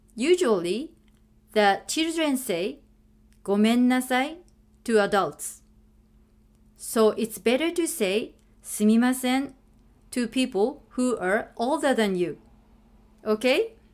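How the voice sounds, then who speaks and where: In a very clean recording with a silent background, a woman with a high pitch and lively intonation speaks at a very slow pace with long, frequent pauses. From Japan (Sano, Tochigi). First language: Japanese. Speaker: language teacher. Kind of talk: tutorial. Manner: slow and clear.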